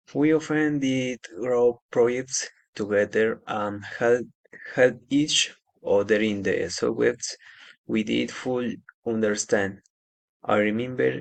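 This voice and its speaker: A man's speech unfolds very slowly, his pitch rising and falling in an ordinary way. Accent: Spanish. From Colombia, Nariño (Ipiales). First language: Spanish. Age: 20s. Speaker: agronomy student. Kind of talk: class assignment presentation. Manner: halting.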